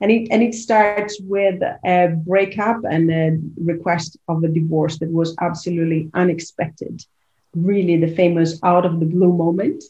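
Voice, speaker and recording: With an Italian accent, a woman speaks in a fairly low, dark, mellow, somewhat breathy voice with fairly even intonation. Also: moderate pace. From Italy. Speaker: leadership coach and author. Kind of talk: interview.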